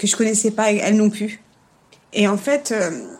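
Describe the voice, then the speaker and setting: Fairly high in pitch, a woman's voice moves at a fairly quick pace. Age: 40s. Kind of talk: casual interview. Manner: hesitant, with laughs.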